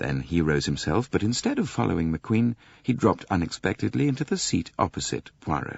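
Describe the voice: Someone does plain reading aloud here.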